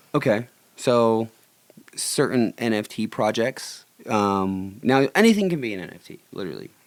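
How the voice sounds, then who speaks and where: A man with a New York accent, medium pitch, ordinary pitch variation, big swings in loudness and a moderate pace. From New York (Buffalo), Puerto Rican family. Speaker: street artist. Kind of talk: casual chat. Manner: animated; blunt.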